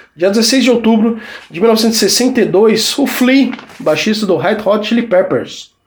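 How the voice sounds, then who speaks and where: A man's high-pitched voice at a very slow pace, ordinary pitch variation, and audible room echo. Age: 40s. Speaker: podcast host and music journalist. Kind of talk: casual solo podcast talk.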